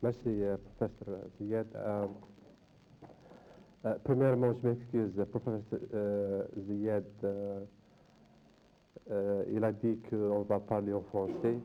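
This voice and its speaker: Very slow, with long, frequent pauses, a man speaks in a dark, mellow tone at a fairly low pitch, with monotone, flat intonation and very even loudness. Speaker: diaspora academic panelist. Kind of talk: round table discussion. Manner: halting.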